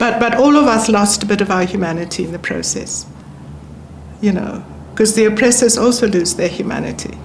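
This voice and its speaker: A woman's medium-pitched voice at a fairly quick pace, with ordinary pitch variation, noticeable background noise and audible room echo. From South Africa. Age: 70s. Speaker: former ambassador. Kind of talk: interview conversation. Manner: calm, even-toned.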